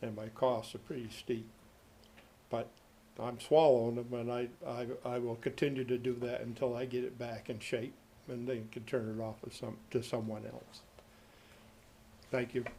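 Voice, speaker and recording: A man with a medium pitch and a dark, mellow tone speaks at a moderate pace in a monotone, flat intonation. He leaves long, frequent pauses, and audible room echo surrounds his voice. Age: 70s. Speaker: cemetery caretaker. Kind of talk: public comment at council meeting. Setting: city council meeting.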